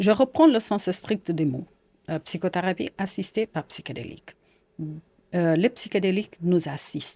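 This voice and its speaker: With a Portuguese accent, the speaker's dark, mellow tone moves at a fairly slow pace with long, frequent pauses. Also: woman, medium pitch for a woman, lively intonation. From Portugal. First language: Portuguese (speaking French). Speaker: psychiatrist. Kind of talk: interview. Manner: halting.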